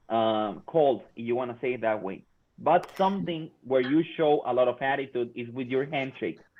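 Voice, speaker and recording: Speaking at a moderate pace with a Spanish accent, a man keeps a medium pitch with ordinary variation. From Mexico. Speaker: workforce trainer. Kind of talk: workshop talk.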